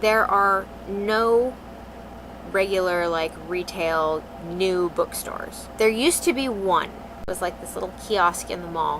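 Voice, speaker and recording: The voice moves at a fairly slow pace with ordinary pitch variation and big swings in loudness. Noticeable background noise runs underneath. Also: woman. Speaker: vlogger. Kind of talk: casual talk to camera.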